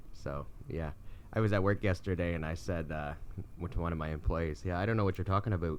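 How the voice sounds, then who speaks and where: A man's very deep, low voice at a very fast pace. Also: ordinary pitch variation. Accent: Midwestern. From US Midwest, Michigan near Canadian border. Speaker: podcast co-host, mechanic. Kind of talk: casual chat.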